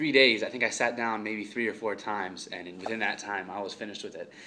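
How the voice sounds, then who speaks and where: Over light background noise, a man speaks very fast in a bright, sharp tone with fairly even intonation. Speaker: student reviewing a book. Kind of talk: casual vlog chat. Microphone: phone near.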